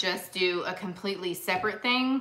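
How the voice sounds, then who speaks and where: Speaking at a fairly quick pace, the woman keeps things moving. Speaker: vintage reseller hosting live sale. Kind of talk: live-stream sale chat. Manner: chatty. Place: home room. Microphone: phone near.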